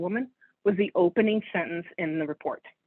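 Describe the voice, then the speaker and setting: The talking moves at a fairly quick pace. Pitch varies in an ordinary way. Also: woman. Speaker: landscape architect. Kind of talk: lecture. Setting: video call. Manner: fast.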